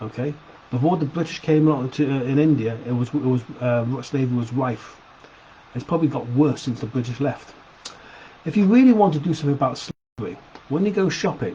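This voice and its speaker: A man with a Sheffield accent, fairly high-pitched, at a fairly quick pace broken by long, frequent pauses. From Sheffield, England. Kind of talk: opinion video to camera. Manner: casual, hesitant.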